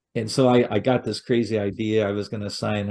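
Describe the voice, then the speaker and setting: The intonation is flat and monotone. The background is quiet. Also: man. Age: 60s. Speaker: retirement author and speaker. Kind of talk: podcast interview. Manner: casual, with hesitations and repeats.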